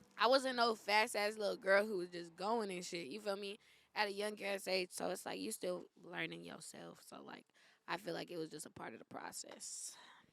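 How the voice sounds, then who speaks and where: In a Bay Area accent, a woman with vocal fry and a medium pitch talks at a moderate pace, with ordinary pitch variation and big swings in loudness. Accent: Bay Area urban US English. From East San Jose, California. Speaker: podcast guest. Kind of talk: casual chat.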